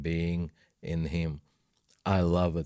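A man speaks at a very slow pace with a Russian accent. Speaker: Bible teacher. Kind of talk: devotional teaching discussion.

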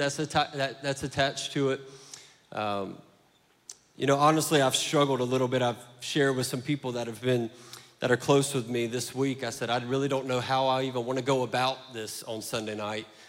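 A medium-pitched man in a Southern US accent at a fairly quick pace. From US South. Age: 30s. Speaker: pastor. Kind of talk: sermon. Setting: church. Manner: animated.

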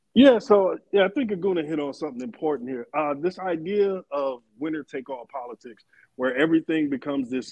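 A man with an ordinary speaking voice talks at a fairly quick pace, his fairly high pitch carried by lively intonation. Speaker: guest commentator. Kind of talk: heated debate.

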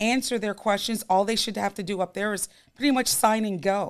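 An unremarkable speaking voice from a woman, medium in pitch with ordinary pitch variation, comes through on a very clean recording with a silent background. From New York. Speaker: timeshare sales rep. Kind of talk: casual interview chat.

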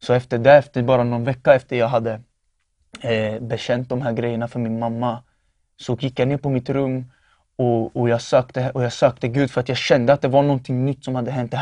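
Against a quiet background, a man speaks with a dark, mellow tone and monotone, flat intonation. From Norrköping, Sweden. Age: 20s. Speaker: testimony giver. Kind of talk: testimony.

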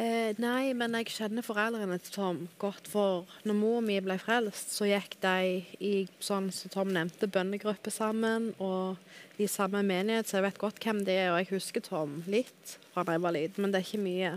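Speaking in an ordinary speaking voice, a woman at medium pitch keeps her intonation fairly even and hardly pauses, on a very clean recording with a silent background. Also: moderate pace. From Dalane, Rogaland, southwestern Norway. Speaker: guest sharing conversion story. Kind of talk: testimony.

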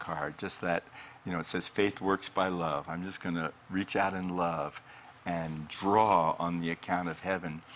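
A man's very deep, low voice in an American accent, monotone and flat, at a fairly slow pace. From Colorado, US. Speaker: pastor and author. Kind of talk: faith-based interview.

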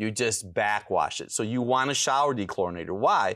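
A man's bright, sharp voice at medium pitch, with ordinary pitch variation, a moderate pace, and a very clean recording over a silent background. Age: 60s. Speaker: health doctor and author. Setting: studio with audience. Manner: gets loud when excited.

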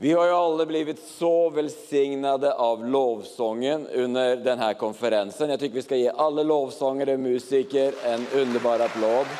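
A man's fairly high voice at a moderate pace, with very even loudness, ordinary pitch variation, hardly any pauses and noticeable background noise. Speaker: pastor. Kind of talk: church service hosting. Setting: stage with audience.

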